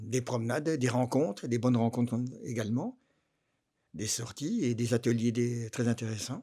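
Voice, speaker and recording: The speaker is a man with a dark, mellow tone and medium pitch. He talks at a moderate pace with ordinary pitch variation. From Dijon, Burgundy, France. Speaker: retiree. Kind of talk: interview. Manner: hesitant.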